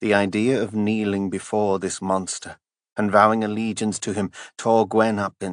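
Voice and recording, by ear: Against a quiet background, a speaker is reading aloud in a natural voice.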